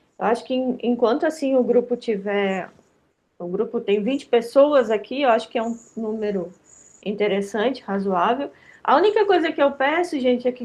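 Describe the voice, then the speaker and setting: A woman speaks with a high pitch and lively intonation at a moderate pace. The background is quiet. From Rio Grande do Sul, Brazil. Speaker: lecturer on digital education for seniors. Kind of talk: online workshop lecture. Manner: informal, many fillers.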